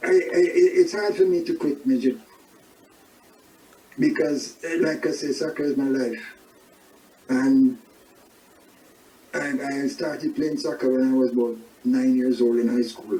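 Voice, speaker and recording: Noticeable background noise behind fairly slow talk broken by long, frequent pauses. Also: man. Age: 70s. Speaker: soccer club manager. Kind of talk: interview.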